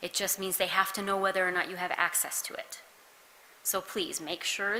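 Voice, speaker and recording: A soft-spoken woman talks at a fairly quick pace with a medium pitch. Noticeable background noise runs underneath. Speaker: county social worker helping with flood recovery. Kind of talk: public meeting presentation. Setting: town hall meeting in a church.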